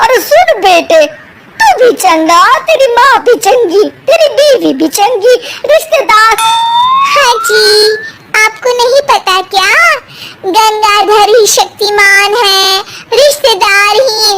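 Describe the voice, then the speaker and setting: In a cartoonish character voice, a woman speaks at a very slow pace with extremely high pitch. Her intonation is lively and her loudness stays very even. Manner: sharp, bossy.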